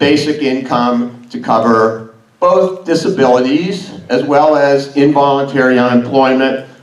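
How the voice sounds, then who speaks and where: A man speaks at a fairly slow pace with fairly high pitch and ordinary pitch variation. There is audible room echo. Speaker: academic conference speaker. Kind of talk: conference talk. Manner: loud.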